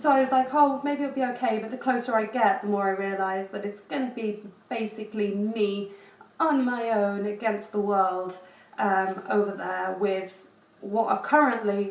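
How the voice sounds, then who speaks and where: A woman with an English accent speaks using ordinary pitch variation. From England. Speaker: education professional, JET teacher. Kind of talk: casual vlog talk to camera.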